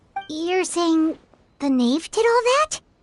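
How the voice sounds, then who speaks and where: This squeaky, put-on character voice sits at an extremely high pitch. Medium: video game. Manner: measured, even-tempered.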